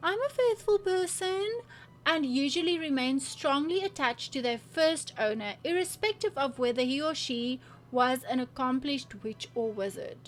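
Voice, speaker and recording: Very wide pitch swings mark this fairly slow speech delivered with a non-native accent. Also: woman. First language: not English. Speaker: gaming/lifestyle YouTuber. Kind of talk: casual vlog reading quiz results aloud. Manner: animated.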